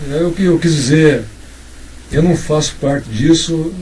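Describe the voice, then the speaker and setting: A man speaks at a fairly slow pace in a fairly high voice, with noticeable background noise. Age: 60s. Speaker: writer. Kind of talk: casual chat. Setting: informal chat over drinks and cigarettes.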